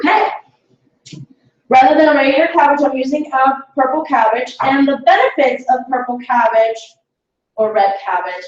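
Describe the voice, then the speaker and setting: With lively intonation and a high pitch, a woman talks at a moderate pace. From Latin America. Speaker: cooking class instructor. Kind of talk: cooking demonstration class.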